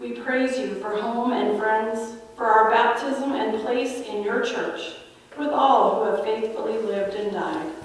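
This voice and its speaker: A woman's voice with ordinary pitch variation sits in strong room echo. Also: fairly slow pace. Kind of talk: liturgical prayer. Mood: solemn, gentle. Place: church.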